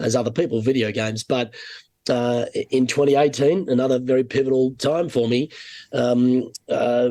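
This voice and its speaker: This man speaks at medium pitch with an Australian accent. His tone is dark and mellow, and his intonation fairly even. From Australia (Sydney). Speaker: golf broadcaster. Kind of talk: casual chat.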